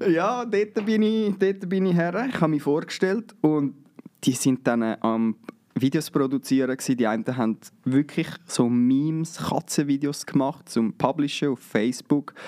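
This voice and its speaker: Using very wide pitch swings, a man talks at a moderate pace in a dark, mellow tone with a dry, close sound and no echo. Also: fairly high pitch for a man. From Switzerland, canton of Zurich. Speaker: videographer and photographer. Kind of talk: interview.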